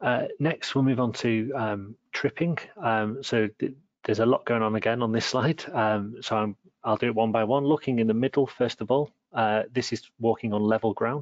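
A man speaks in a normal speaking voice at a medium pitch. His pace is moderate and his intonation fairly even. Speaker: research scientist. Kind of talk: webinar presentation. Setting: online webinar.

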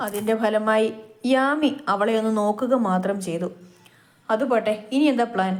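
Someone is reading aloud in a natural voice, and the pitch shifts in an ordinary way.

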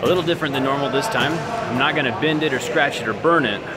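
Loud background noise fills the clip as a man talks with ordinary pitch variation. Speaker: tech reviewer. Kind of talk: casual vlog chat. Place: gym. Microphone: phone near.

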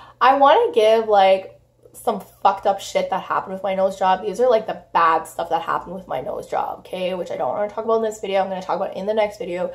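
Over noticeable background noise, a woman talks at a very fast pace with hardly any pauses. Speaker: beauty vlogger. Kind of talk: casual vlog to camera.

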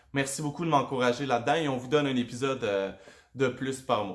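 The speaker is a man. He talks at a moderate pace. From Quebec. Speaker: podcast host. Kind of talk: casual interview; casual vlog chat. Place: home room. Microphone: webcam.

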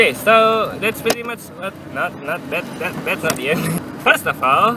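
A man's high-pitched voice, bright and sharp in tone, with lively intonation, a moderate pace, and faint background noise

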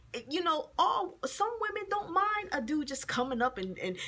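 A woman's raised, projected voice with very wide pitch swings. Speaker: video blogger. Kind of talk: angry rant, indignant and profane, scolding men who can't take rejection. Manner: heated, fast, sarcastic and exasperated, with emphatic profanity. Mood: annoyed, venting. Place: office. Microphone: phone near.

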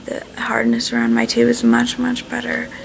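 There is light background noise as a woman talks at a moderate pace. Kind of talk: casual vlog chat. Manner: weak, drowsy, low-energy patient voice. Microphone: phone near.

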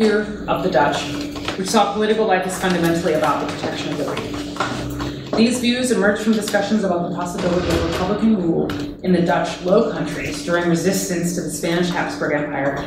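Audible room echo and noticeable background noise surround a woman's voice. She talks at a very fast pace with ordinary pitch variation. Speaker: guest lecturer. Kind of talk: lecture. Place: classroom. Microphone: camera far.

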